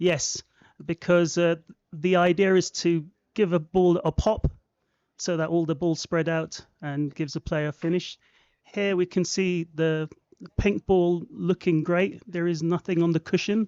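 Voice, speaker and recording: The speaker, with a London accent, goes at a fairly slow pace, with long, frequent pauses. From London, England. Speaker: guest pool commentator. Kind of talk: live commentary.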